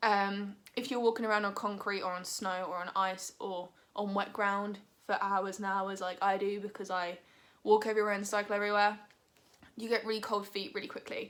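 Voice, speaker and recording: This woman has a British accent and a medium pitch. Her intonation is monotone and flat, and her pace fairly quick. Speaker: vegan lifestyle vlogger. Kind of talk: product review. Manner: casual, filler-heavy.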